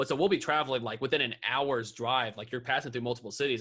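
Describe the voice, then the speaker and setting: A man with an American accent speaks at a very fast pace in a bright, sharp tone. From North Carolina. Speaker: YouTuber and drummer. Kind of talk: podcast interview. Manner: casual.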